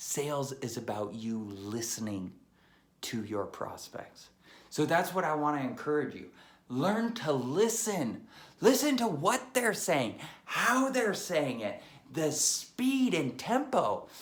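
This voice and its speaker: Over audible room echo, the speaker goes very slowly with very wide pitch swings. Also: man, fairly high pitch for a man. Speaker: sales trainer. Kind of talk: tutorial. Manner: animated.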